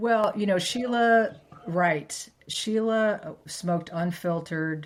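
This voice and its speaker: At a very slow pace, a woman talks at medium pitch with ordinary pitch variation. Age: 60s. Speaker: podcast host. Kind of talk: casual interview chat.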